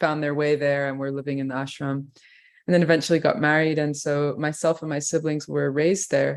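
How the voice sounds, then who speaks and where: A woman talks with an English accent at a very deep, low pitch. Her intonation stays fairly even. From England. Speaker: kirtan musician. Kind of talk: interview.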